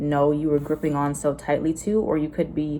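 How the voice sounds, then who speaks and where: A woman with a very deep, low pitch at a moderate pace, against noticeable background noise. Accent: American. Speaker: tarot reader. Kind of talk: tarot reading to camera. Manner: animated.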